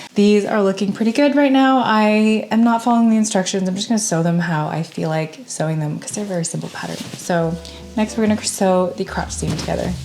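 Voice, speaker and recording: At a fairly quick pace and with hardly any pauses, a woman speaks at a medium pitch with ordinary pitch variation over noticeable background noise. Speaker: sewing content creator. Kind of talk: casual vlog narration. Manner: casual.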